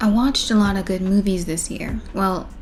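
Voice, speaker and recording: Soft-spoken and somewhat breathy, a woman talks in a dark, mellow tone with ordinary pitch variation. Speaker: film vlogger. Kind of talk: casual monologue. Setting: at home at night.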